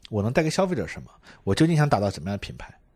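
A man speaks at a medium pitch, somewhat breathy, with very wide pitch swings. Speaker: marketing executive guest. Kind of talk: casual chat. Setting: airport. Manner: animated.

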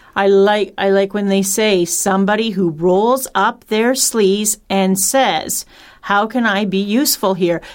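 A woman has an unremarkable speaking voice at medium pitch. She talks at a fairly slow pace with fairly even intonation and very even loudness. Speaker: radio show panelist, parent. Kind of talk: educational radio discussion.

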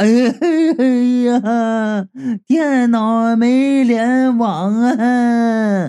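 The voice is a put-on character, pitched fairly high. Its delivery is very slow. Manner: pleading, tearful.

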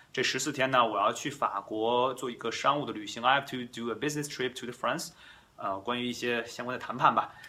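In a Chinese accent, a man speaks at a fairly quick pace with medium pitch, ordinary pitch variation and a bright, sharp tone. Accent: Chinese-accented English, Mandarin speaker. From China. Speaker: English teacher and podcast host. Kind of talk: bilingual language tutorial. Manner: frequent code-switching between Mandarin and English.

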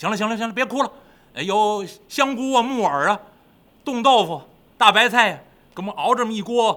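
A passage is being read aloud in a natural voice.

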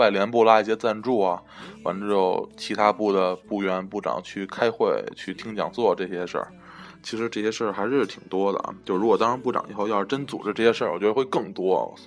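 Here a man talks at a fairly quick pace. His pitch is fairly low and his intonation fairly even. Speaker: podcast host, college student. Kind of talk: casual chat.

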